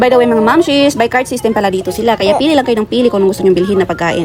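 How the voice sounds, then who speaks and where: An animated tone and lively intonation come through over noticeable background noise. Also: woman. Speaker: food vlogger. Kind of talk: vlog narration. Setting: outdoor street food market. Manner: loud, near-shouting.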